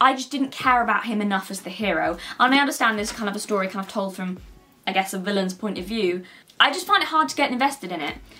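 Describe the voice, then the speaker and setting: Over faint background music, a woman speaks very fast. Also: big swings in loudness. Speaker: book vlogger. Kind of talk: casual vlog chat. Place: home room.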